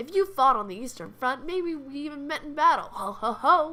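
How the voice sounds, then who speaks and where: Using a put-on character voice, a woman speaks at a moderate pace in a high-pitched, raised and projected voice. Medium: actual play. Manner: hearty, laughing.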